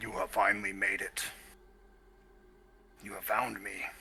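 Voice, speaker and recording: Moderate-paced speech from a man in a put-on character voice. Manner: speaking telepathically, without its mouth moving.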